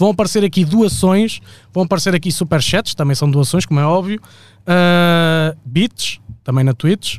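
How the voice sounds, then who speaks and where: Speaking at a moderate pace with very even loudness, a man uses a high pitch and ordinary pitch variation. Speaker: podcast co-host. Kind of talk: casual chat. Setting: studio, live stream.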